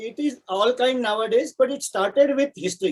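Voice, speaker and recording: A man with a Marathi accent, at a fairly quick pace, with ordinary pitch variation. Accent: Indian English, Marathi. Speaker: software architect and poet. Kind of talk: interview.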